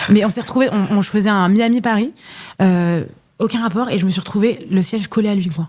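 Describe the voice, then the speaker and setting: At a fairly quick pace, a woman with a dark, mellow tone speaks with ordinary pitch variation. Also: medium pitch for a woman. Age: 20s. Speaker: content creator and podcaster. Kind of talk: casual interview chat. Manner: fast, halting with many repetitions.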